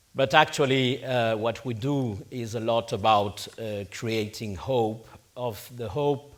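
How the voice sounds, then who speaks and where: A man with a Spanish accent speaks at a medium pitch with fairly even intonation. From Spain. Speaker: conference panel chair. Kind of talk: conference speech.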